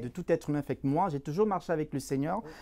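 A fairly high-pitched male voice with lively intonation. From Cameroon. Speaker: employment coach and recruiter. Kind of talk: interview. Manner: halting, repeats words.

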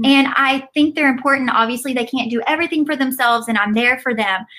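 A woman's high-pitched, bright and sharp voice, animated in tone, with ordinary pitch variation. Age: 20s. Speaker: entrepreneur and mother. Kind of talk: casual chat.

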